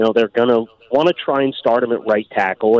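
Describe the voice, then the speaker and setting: A man with a plain, everyday voice at a medium pitch, a fairly quick pace, and a dry, close sound with no echo. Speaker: football draft analyst. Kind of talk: radio interview.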